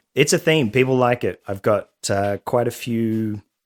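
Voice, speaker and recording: A man with an Australian accent and a medium pitch, fairly slow, with ordinary pitch variation, in a very clean recording with a silent background and a dry, close sound with no echo. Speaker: beverage company founder. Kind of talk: casual chat.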